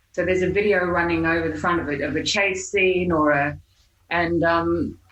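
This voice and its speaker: A woman with an Australian accent speaks at a moderate pace, her fairly low voice showing vocal fry. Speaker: hypnotherapist. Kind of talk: podcast interview answer. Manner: casual, conversational.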